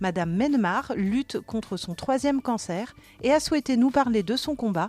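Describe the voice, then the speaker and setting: A plain, everyday voice at a moderate pace. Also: woman. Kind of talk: podcast intro.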